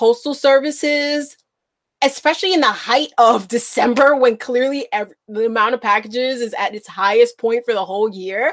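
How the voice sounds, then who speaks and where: A woman with a high-pitched voice and an American accent speaks at a moderate pace. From Bronx, New York. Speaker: podcast co-host. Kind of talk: casual chat.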